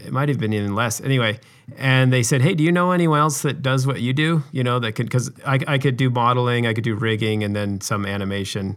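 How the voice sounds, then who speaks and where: A man with an American accent at medium pitch, at a very fast pace with hardly any pauses and ordinary pitch variation. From Utah. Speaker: video game animator. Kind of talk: interview. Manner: halting, many fillers.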